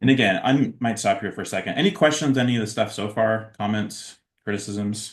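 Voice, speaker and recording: A man talks fairly fast at a middle pitch, his intonation varying in an ordinary way. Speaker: researcher and featured workshop speaker. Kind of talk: online lecture. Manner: many fillers, uh and um.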